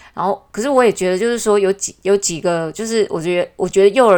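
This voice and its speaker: The recording is very clean, with a silent background. A woman speaks at a fairly quick pace with ordinary pitch variation. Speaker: podcast host. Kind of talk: casual monologue. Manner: hesitant, many fillers.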